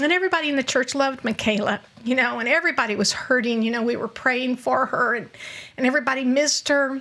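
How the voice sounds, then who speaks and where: Over noticeable background noise, a woman talks at a very fast pace in a raised, projected voice, high in pitch with ordinary pitch variation. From Scotland. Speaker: mother of a recovering addict. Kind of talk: casual chat. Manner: animated.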